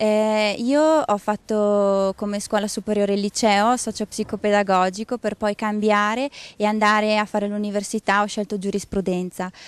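A woman speaks at a moderate pace in an ordinary speaking voice, medium in pitch with fairly even intonation, the sound dry and close with no echo over a quiet background. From Trentino, Ledro valley. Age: 20s. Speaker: farmer. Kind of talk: testimony.

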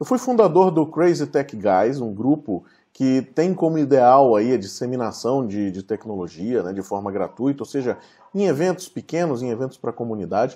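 Over a quiet background, the voice has a dark, mellow tone and lively intonation at a moderate pace. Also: man. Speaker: presenter. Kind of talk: online talk presentation. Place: home room. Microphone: webcam.

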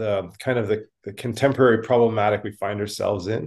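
Against a quiet background, a man talks with a Canadian accent. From Canada. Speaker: podcast co-host. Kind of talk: interview. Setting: video call. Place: home room. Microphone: video call.

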